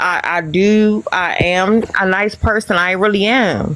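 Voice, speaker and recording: Fairly even intonation from a woman at medium pitch, with noticeable background noise. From Missouri. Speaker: live-stream panel participant. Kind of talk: casual live-stream chat.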